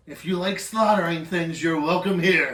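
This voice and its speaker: Using a put-on character voice, a man speaks in a raised, projected voice at a high pitch and a moderate pace. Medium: actual play. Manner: blunt, loud, belligerent.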